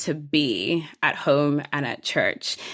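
A woman talks at a very slow pace with ordinary pitch variation. The recording is very clean with a silent background. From Ireland, Nigerian diaspora family. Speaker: lawyer, preacher and worship leader. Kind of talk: interview conversation.

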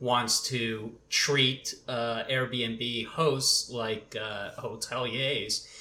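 A man's unremarkable speaking voice with ordinary pitch variation. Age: 30s. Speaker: employment attorney. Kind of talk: casual panel discussion.

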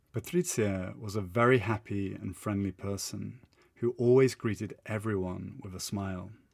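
In a British accent, a man speaks at a moderate pace and a fairly low pitch, with ordinary pitch variation. His tone is dramatic and warm, with big swings in loudness. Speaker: English teacher and podcaster. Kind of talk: literary audiobook-style storytelling, scripted personal narration. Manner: dramatic, suspenseful, warm.

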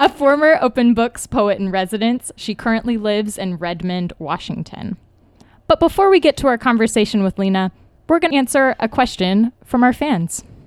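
A woman with a fairly high pitch makes very wide pitch swings, heard in a dry, close sound with no echo. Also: moderate pace. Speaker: podcast host. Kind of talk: casual chat. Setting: in-person around a table.

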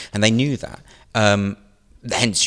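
A man with a British accent and ordinary pitch variation, in a very clean recording with a silent background. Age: 40s. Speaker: comedian and satirical writer. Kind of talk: interview.

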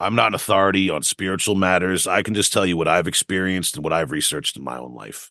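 Against a quiet background, a man with an American accent talks very fast with hardly any pauses, his very deep, low voice bright and sharp in tone, with vocal fry, ordinary pitch variation and big swings in loudness. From New York area (Long Island). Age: 40s. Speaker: death metal vocalist and lyricist. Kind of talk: casual interview. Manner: halting, many fillers and repetitions.

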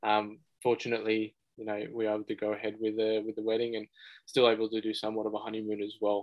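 Rattling along at a very fast pace, a man with an Australian accent speaks in a fairly low, monotone voice with flat intonation. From Western Sydney, Australia. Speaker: buyer's agent. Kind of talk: interview. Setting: studio.

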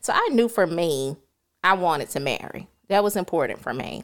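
A woman with a Southern US accent at a moderate pace, on a very clean recording with a silent background. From US South, rural South Carolina. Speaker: podcast guest, psychology graduate. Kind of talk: casual interview chat. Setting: filmed in studio.

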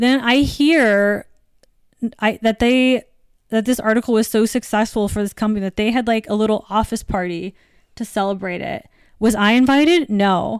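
This woman has a normal speaking voice with an American accent and a fairly high pitch. She talks at a moderate pace with ordinary pitch variation. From US Virgin Islands. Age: 30s. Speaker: author and journalist. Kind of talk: casual interview chat.

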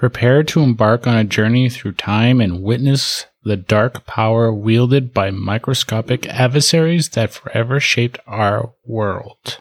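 In a normal speaking voice, a man talks at a fairly slow pace and medium pitch with ordinary pitch variation, hardly any pauses, and a dry, close sound with no echo. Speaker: podcast co-host. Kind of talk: casual chat.

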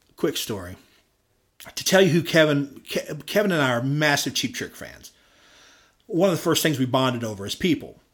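A man talks at a moderate pace with long, frequent pauses and vocal fry. His pitch is fairly high and his intonation is lively. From Louisville, Kentucky (South End). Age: 40s. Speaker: bass player. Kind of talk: casual chat.

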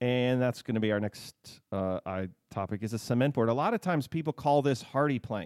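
A man with a medium-pitched voice speaks at a fairly quick pace with ordinary pitch variation, recorded dry and close with no echo, very clean and against a silent background. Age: 40s. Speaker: home builder and podcast host. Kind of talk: casual chat. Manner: hesitant, with many fillers.

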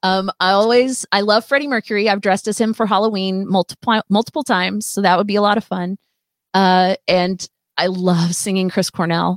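With a normal speaking voice, a woman speaks at a medium pitch and a fairly quick pace with fairly even intonation, the sound dry and close with no echo. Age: 50s. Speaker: rock musician. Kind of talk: casual chat. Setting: studio.

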